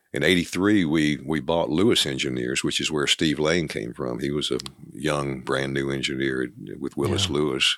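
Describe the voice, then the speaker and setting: A man's very deep, low voice with vocal fry, moderate pace and ordinary pitch variation. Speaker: retiring company CEO. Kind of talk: interview.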